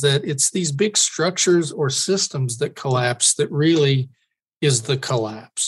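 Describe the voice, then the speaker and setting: Ordinary pitch variation runs through a man's somewhat breathy voice. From Kentucky, US. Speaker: underwater archaeologist and author. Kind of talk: interview. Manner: halting, many fillers.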